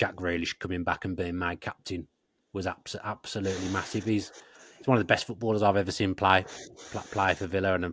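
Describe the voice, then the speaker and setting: With a strong Birmingham accent, a man speaks very fast at a very deep, low pitch in a monotone, flat intonation, on a very clean recording with a silent background. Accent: strong Brummie (Birmingham). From Birmingham, English Midlands. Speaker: football podcast host. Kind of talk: casual interview chat. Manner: repetitive, many restarts and stammered words.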